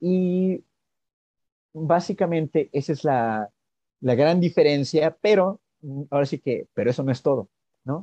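In a dry, close sound with no echo and a quiet background, a man with a fairly high pitch and dark, mellow tone talks at a fairly slow pace, with lively intonation and long, frequent pauses. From Mexico. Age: 40s. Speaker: blockchain business developer and economist. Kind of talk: interview.

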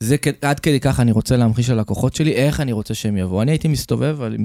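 In a very clean recording with a silent background, a man speaks in a dark, mellow tone with ordinary pitch variation. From Haifa, Israel. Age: 30s. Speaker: real estate investor and mentor. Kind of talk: podcast interview.

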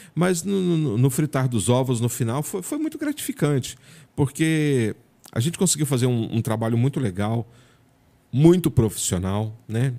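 At a moderate pace, a man speaks in a dark, mellow tone on a very clean recording with a silent background. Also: medium pitch for a man, lively intonation. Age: 50s. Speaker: journalist. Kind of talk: casual interview.

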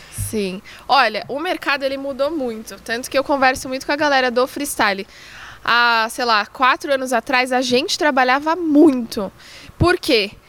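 At a moderate pace, a woman speaks in a high pitch with a bright, sharp tone and ordinary pitch variation. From Brazil, São Paulo. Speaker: football freestyler and content creator. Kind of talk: casual chat.

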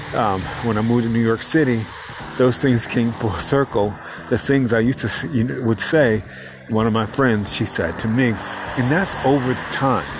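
Noticeable background noise runs under the speaker. The pace stays moderate. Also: man, medium pitch for a man, ordinary pitch variation. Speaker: podcast host. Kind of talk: solo podcast talk, reflective self-help. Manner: calm, peaceful; reflective, with filler words.

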